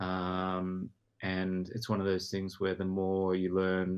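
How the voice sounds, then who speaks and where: Speaking with an Australian accent, a man with a very deep, low pitch talks at a fairly slow pace in a monotone with flat intonation. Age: 30s. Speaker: podcast guest. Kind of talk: casual chat.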